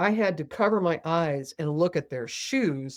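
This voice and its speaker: A woman talks in a plain, everyday voice. It has a fairly low pitch and lively intonation. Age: 60s. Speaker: spiritual healer and author. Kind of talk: podcast interview. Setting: podcast with video.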